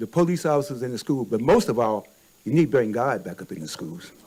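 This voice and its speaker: A man's pitch swings very widely while noticeable background noise plays behind him. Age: 70s. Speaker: public commenter. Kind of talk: public comment. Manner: animated.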